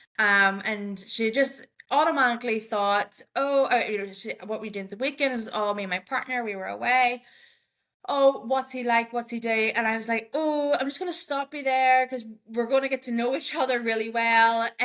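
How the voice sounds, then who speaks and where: A woman's fairly high voice in an Irish accent, at a moderate pace with ordinary pitch variation. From Ireland. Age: 30s. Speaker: diversity and inclusion advocate. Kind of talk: podcast interview. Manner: halting, with frequent repetitions and fillers.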